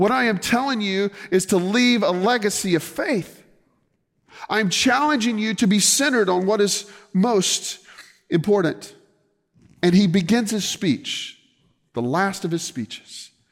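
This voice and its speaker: A man with an American accent speaks at a high pitch. Long, frequent pauses break up his speech. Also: ordinary pitch variation. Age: 40s. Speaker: pastor. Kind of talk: sermon.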